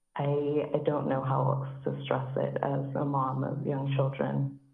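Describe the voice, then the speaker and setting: A woman's shaky voice carries audible room echo. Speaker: public commenter, mother and teacher. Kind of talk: public comment at council meeting. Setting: phone call.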